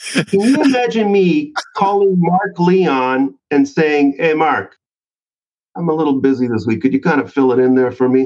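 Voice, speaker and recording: A man with a plain, everyday voice speaks at a moderate pace, his fairly high pitch carrying lively intonation at very even loudness. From Canada. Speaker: sales author and trainer. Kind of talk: casual interview chat.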